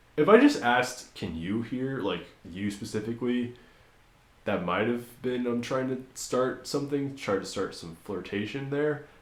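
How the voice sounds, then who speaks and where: Audible room echo surrounds a man at a medium pitch. His tone is animated. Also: ordinary pitch variation, moderate pace. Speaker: podcast host. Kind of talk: casual chat. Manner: loud.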